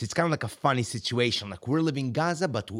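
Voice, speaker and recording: Very fast male speech with lively intonation on a very clean recording with a silent background. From Israel. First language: Hebrew. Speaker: podcast guest, friend of host. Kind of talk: casual chat.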